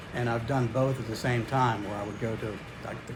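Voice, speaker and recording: Over noticeable background noise and audible room echo, a man speaks at a medium pitch with monotone, flat intonation. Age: 60s. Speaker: fitness YouTuber. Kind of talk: casual vlog. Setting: home garage gym. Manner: halting, many fillers.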